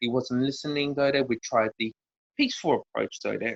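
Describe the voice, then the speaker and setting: Fairly even intonation with an Australian accent, in a dry, close sound with no echo. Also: man. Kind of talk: interview. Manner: halting, many fillers.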